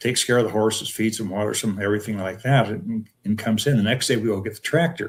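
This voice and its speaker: Somewhat breathy and medium in pitch, a man's voice keeps a fairly even intonation. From North Dakota. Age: 80s+. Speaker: retired professor. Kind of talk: casual interview chat, storytelling. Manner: halting.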